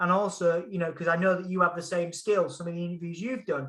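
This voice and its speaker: A man uses a raised, projected voice with an animated tone. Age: 30s. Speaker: music journalist and interviewer. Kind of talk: casual chat.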